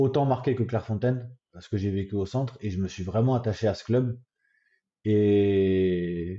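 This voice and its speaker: Over a quiet background, a man with a Marseille accent speaks fairly slowly in a fairly low, dark, mellow voice with ordinary pitch variation and big swings in loudness. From Paris, France. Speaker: goalkeeping coach, former footballer. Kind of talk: interview answer.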